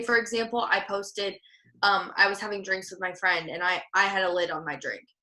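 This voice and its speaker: Bright and sharp in tone, a woman speaks at a medium pitch. Her intonation is flat and monotone. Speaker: social media trainer. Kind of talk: online training session. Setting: video call. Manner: fast; casual, filler-heavy.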